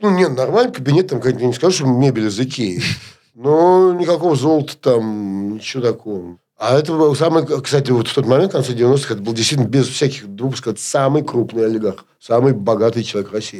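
A man with an unremarkable speaking voice talks at a medium pitch. His pace is fairly quick and his intonation lively. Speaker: media executive and producer. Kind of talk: interview.

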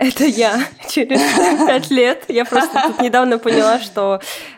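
A woman talks with ordinary pitch variation amid noticeable background noise. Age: 20s. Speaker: podcast host. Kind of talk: casual interview.

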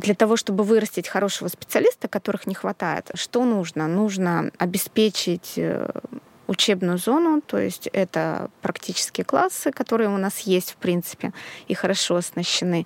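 A woman's plain, everyday voice at medium pitch, moderate pace and ordinary pitch variation, with a dry, close sound with no echo. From Russia, outside Saint Petersburg. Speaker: sewing school founder and pattern designer. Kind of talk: casual chat.

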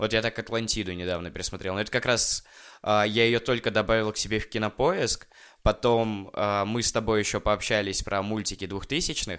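In a plain, everyday voice, a man speaks at a fairly quick pace with a fairly low pitch and fairly even intonation, on a very clean recording with a silent background. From Russia. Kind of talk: casual chat.

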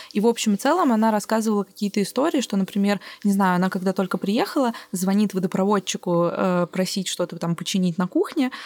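A woman talks at a fairly quick pace in a plain, everyday voice, with medium pitch and ordinary pitch variation. The sound is dry and close, with no echo. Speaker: podcast host and producer. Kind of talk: casual interview.

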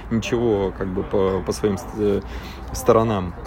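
A man is speaking. Music plays in the background. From Russian Far East, Magadan region. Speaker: traveler and expedition leader. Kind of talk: interview. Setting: remote call.

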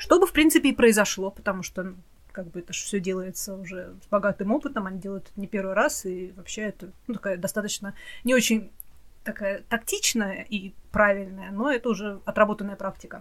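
Her voice an unremarkable speaking voice, a woman at medium pitch talks at a fairly quick pace with ordinary pitch variation and big swings in loudness. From Russia. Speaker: podcast co-host. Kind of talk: casual chat.

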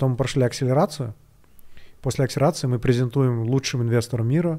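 Recorded very cleanly against a silent background, the speech keeps a fairly even intonation. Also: man. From Kyrgyzstan, Bishkek. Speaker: tech startup founder. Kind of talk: interview.

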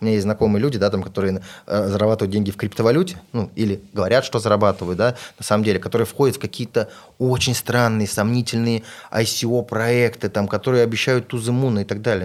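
Talking very fast, a man keeps ordinary variation in his pitch. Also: very clean recording, silent background. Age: 30s. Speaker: entrepreneur and investor. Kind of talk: podcast interview. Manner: casual.

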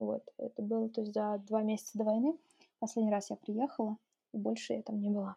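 This woman's voice is somewhat breathy, with a dark, mellow tone and a fairly high pitch. She speaks at a fairly quick pace with fairly even intonation. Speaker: entrepreneur, consultant. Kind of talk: interview.

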